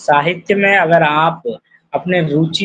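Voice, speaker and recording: A normal speaking voice, a man's, fairly high-pitched, with fairly even intonation. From Rajasthan, India. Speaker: poet and social worker. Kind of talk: interview. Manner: formal.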